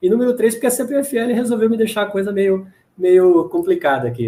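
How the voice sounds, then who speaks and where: A man talks at a fairly quick pace. His tone is dark and mellow and somewhat breathy. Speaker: dentist and lecturer. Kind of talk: Q&A after a lecture. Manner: fast.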